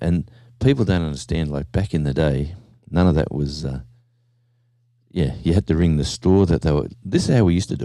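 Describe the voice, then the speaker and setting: With an Australian accent, a man speaks at a moderate pace in a very deep, low voice, his dark, mellow tone carrying ordinary pitch variation. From Australia, small country town. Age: 60s. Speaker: livestreamer. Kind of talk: casual chat. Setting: at home. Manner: animated.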